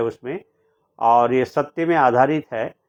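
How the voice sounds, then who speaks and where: The speaker is a man. He varies his pitch in an ordinary way. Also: quiet background. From India, Sikkim (Gangtok). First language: Nepali (speaking Hindi). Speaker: poet and translator. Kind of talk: interview. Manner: halting, with many fillers.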